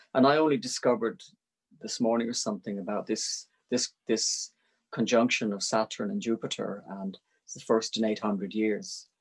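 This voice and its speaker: A man at medium pitch, with ordinary pitch variation and a moderate pace. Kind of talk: relaxed spiritual conversation about poetry. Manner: hesitant, rambling.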